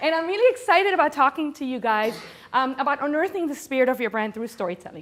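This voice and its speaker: Speaking with a Spanish accent, a woman talks at a very fast pace in a high pitch, her animated tone carried by lively intonation. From Venezuela (Caracas). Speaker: corporate storyteller and speaker. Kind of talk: conference talk.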